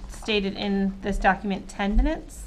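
A woman speaks at a fairly slow pace over light background noise. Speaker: city councilor. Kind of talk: council meeting discussion. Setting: council meeting room. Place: meeting room.

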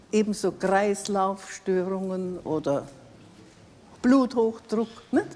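Taking long, frequent pauses, a woman speaks at a very slow pace. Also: ordinary pitch variation. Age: 80s+. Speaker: cosmetic surgery patient; talk show guest. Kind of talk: TV studio interview. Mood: cheerful, self-assured. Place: studio. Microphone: lapel.

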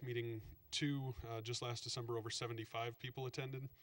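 Against a quiet background, the voice comes across as somewhat breathy. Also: man. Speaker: state transportation planner. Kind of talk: slide presentation to council. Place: meeting room.

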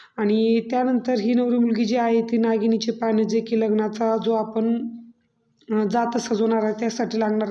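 A woman speaks in a monotone with flat intonation. Her fairly high voice has a dark, mellow tone. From Maharashtra, Shirur area. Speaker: vlogger, mother. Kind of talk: vlog voice-over.

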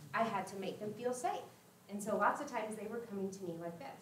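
Audible room echo surrounds a woman's voice. Some light noise sits in the background. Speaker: former teacher, trauma-informed care trainer. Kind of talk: workshop presentation. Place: hall.

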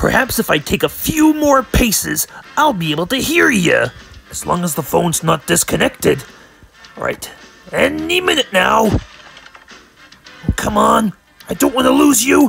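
A man's cartoonish character voice at a moderate pace, with faint music in the background. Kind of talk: cartoon comic overacting. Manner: blustering, threatening, yelling like an old sailor.

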